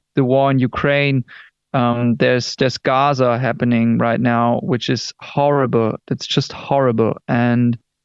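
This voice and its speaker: Speaking at a medium pitch, a man talks with a German accent. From Germany. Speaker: rock band singer. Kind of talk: interview. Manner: halting.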